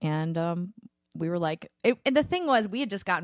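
A woman talking at a very fast pace, fairly low-pitched, with a dry, close sound and no echo. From New Orleans, Louisiana. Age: 30s. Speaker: country singer. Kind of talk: casual interview chat. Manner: halting, with many fillers.

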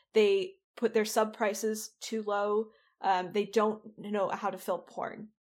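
In a very clean recording with a silent background, a woman with a fairly high pitch speaks at a very slow pace in a monotone, flat intonation. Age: 20s. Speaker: sex worker and online personality. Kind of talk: interview conversation.

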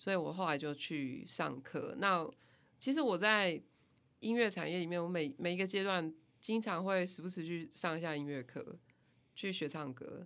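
A woman with a normal speaking voice talks at a moderate pace in a fairly low pitch, with lively intonation. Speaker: music company founder and band musician. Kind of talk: casual interview.

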